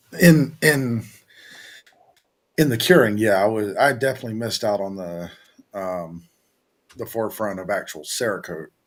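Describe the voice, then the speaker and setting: A man's fairly low voice with a Southern accent, lively intonation and long, frequent pauses, on a very clean recording with a silent background. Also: moderate pace. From US South, Virginia. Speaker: business owner, oven maker. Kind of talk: casual chat. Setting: studio. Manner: halting, repeats words.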